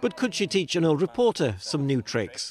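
A man is speaking. Music plays in the background. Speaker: TV news reporter. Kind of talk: TV news report narration.

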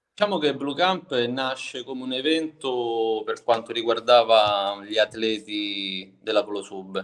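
A normal speaking voice from a man, medium in pitch, fairly slow, with ordinary pitch variation. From Italy, moved around, settled near Rome. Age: 30s. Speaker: security guard and spearfisherman; interview guest. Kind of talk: casual chat. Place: home room. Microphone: video call.

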